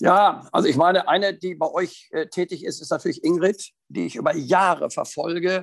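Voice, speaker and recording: At a moderate pace and with hardly any pauses, a man talks in a high pitch with fairly even intonation. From northern Germany, near Hannover. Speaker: riding instructor and dressage judge. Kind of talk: interview.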